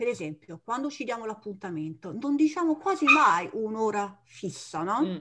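With hardly any pauses, a woman talks at a fairly high pitch with very wide pitch swings. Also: moderate pace. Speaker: Italian teacher, podcast co-host. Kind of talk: casual chat.

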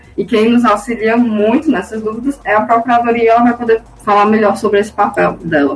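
Fairly quick speech with very even loudness and ordinary pitch variation, with music in the background. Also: woman, fairly high pitch for a woman, hardly any pauses. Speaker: public institution administrative assistant. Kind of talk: radio interview. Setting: studio.

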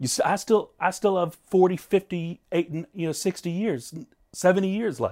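A man's high-pitched voice at a moderate pace with ordinary pitch variation, dry and close with no echo, very cleanly recorded against a silent background. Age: 30s. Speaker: video podcast host, self-help. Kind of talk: casual monologue to camera. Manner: halting, many fillers and repetitions.

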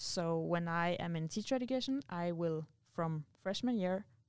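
Fairly slow, fairly low female voice in a Norwegian accent with ordinary pitch variation. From Norway. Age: 20s. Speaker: university student and athlete. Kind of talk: interview.

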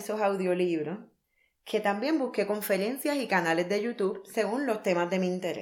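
A woman's unremarkable speaking voice at medium pitch, with ordinary pitch variation and a moderate pace, in a very clean recording with a silent background. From Puerto Rico. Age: 30s. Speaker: podcast host, life coach. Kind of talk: scripted monologue.

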